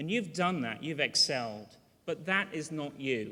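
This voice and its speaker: A man with a British accent, fairly high-pitched and moderately paced, in a very clean recording with a silent background. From Britain. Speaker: university dean. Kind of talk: commencement speech. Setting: ceremony hall with audience.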